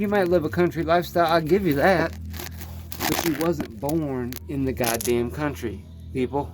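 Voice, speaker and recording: This man talks at a moderate pace. Behind him, there is music in the background. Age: 30s. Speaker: carpenter. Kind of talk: casual vlog tutorial. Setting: under a mobile home. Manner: animated.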